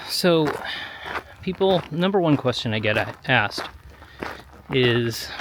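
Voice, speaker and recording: An American-accented man with a fairly high pitch talks at a fairly slow pace, his intonation lively. He leaves long, frequent pauses, and noticeable background noise can be heard. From US Midwest, Chicago area. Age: 40s. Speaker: vlogger. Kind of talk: casual vlog monologue while walking. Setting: outdoors on a gravel road. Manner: conversational, hesitant with fillers.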